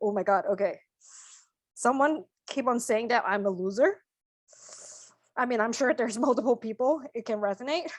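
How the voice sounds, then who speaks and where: Over a quiet background, the speaker keeps a moderate pace with ordinary pitch variation and long, frequent pauses. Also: woman, fairly high pitch for a woman. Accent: non-native. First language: not English. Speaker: energy healer in training. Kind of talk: live spiritual healing session. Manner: halting.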